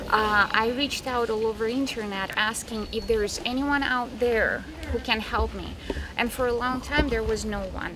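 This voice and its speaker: At a moderate pace, a woman with a Russian accent talks in a fairly high pitch with fairly even intonation, amid noticeable background noise and audible room echo. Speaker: animal rescue founder. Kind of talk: interview.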